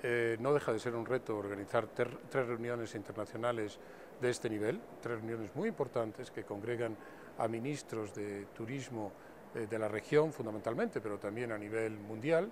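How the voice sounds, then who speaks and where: With a Spanish accent, a man speaks at a moderate pace and medium pitch with fairly even intonation over noticeable background noise. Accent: Spanish (Spain). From Spain. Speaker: tourism official. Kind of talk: interview. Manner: formal.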